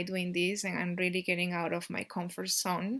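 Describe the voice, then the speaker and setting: With a Peruvian accent, a woman speaks at a medium pitch. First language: Spanish. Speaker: YouTuber teaching Andean cosmology. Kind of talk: casual talk to camera. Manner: halting, many fillers.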